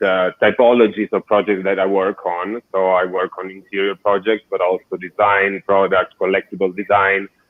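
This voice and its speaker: With an Italian accent, a man speaks at a moderate pace in a fairly low, monotone, flat voice with hardly any pauses. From southern Italy. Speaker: architect and designer. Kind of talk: interview.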